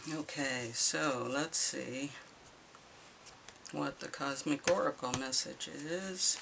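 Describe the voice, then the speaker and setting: The speech is very slow with long, frequent pauses, and noticeable background noise is present. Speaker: tarot reader. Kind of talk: tarot reading. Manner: hesitant, with fillers.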